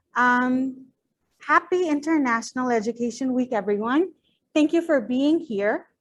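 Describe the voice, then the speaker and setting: Her voice high, a woman talks at a moderate pace with ordinary pitch variation and very even loudness. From Bangladesh. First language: Bangla. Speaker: PhD researcher and teacher. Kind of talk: academic presentation.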